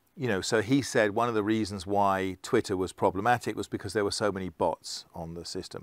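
Over a quiet background, a man talks at a fairly quick pace in a fairly low pitch with ordinary pitch variation. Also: dry sound with no echo. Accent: English. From England. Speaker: keynote speaker on digital identity; keynote speaker. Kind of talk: conference talk. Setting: online conference session. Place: studio. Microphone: lapel.

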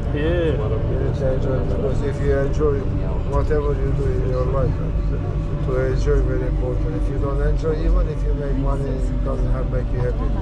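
A man talks at a moderate pace. Clear music plays behind his voice. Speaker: local passenger chatting with vlogger. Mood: friendly, philosophical. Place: train. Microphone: phone near.

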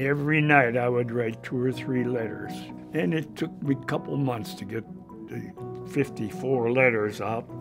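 A man with an American accent speaks at a medium pitch and a moderate pace, with ordinary pitch variation. Clear music plays in the background. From Pennsylvania, USA. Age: 80s+. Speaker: retired chemical engineering professor. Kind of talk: documentary interview answer. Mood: warm, reminiscing. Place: home room.

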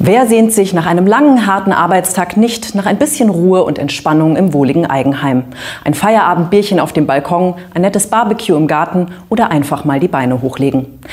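A woman at a fairly quick pace, fairly low in pitch with lively intonation. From Hesse, Germany. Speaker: TV presenter. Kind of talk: TV magazine presenting. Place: studio.

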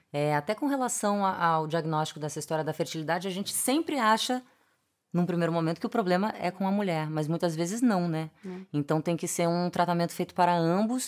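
Against a quiet background, a woman talks at a fairly quick pace in a fairly low pitch with ordinary pitch variation. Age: 40s. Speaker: podcast host. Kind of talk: interview; scripted narration. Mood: warm, engaged. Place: studio.

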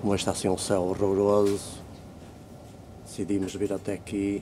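A European Portuguese accent over light background noise. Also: man. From Portugal. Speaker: video blogger. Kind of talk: casual vlog narration. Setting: outdoors. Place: garden. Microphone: phone near.

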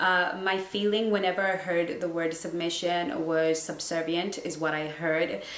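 A woman's fairly low voice in monotone, flat intonation, with audible room echo. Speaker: relationship coach. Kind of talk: casual vlog chat. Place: home room.

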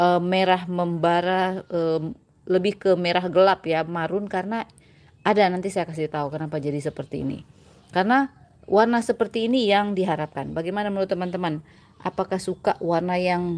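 At a fairly quick pace, a woman is talking. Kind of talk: tutorial. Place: garden. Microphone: phone near.

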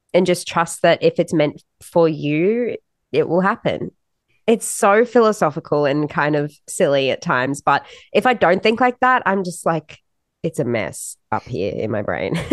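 Over a quiet background, a woman speaks at a medium pitch and fairly slow pace with lively intonation. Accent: Australian. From Australia. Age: young. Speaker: country-pop singer. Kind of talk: casual interview.

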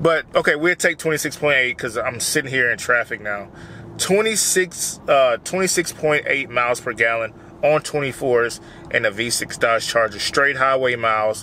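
Lively in intonation yet at a very slow pace, a man talks with a dry sound with no echo amid light background noise. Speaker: car vlogger. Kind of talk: casual vlog chat. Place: car.

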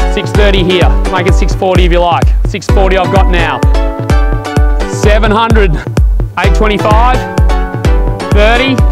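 Loud music plays in the background. A man speaks over it in a dry sound with no echo. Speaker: auctioneer. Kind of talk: property auction calling. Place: garden.

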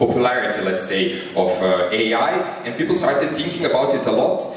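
Strong room echo surrounds this recording. A man talks at a fairly quick pace. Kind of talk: opening speech. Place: stage.

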